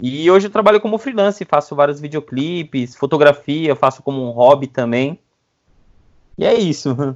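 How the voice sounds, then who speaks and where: An ordinary speaking voice. It moves at a moderate pace with lively intonation. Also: man, fairly high pitch for a man. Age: 30s. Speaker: videomaker. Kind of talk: casual interview.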